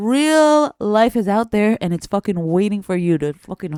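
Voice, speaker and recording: With a dry, close sound and no echo, a woman speaks at a moderate pace and medium pitch, her tone animated and her intonation lively. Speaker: news commentary podcast host. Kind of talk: casual news commentary to camera. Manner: casual, profane, animated.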